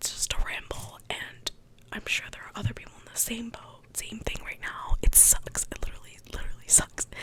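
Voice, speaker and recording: Whispering at a moderate pace, a woman swings widely in loudness against noticeable background noise. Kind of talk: ASMR soft-spoken ramble. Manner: soft-spoken; casual, rambling.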